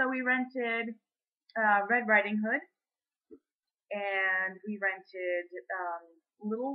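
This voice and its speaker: This woman has a fairly high pitch and ordinary pitch variation. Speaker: teacher. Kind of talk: casual video blog. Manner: animated.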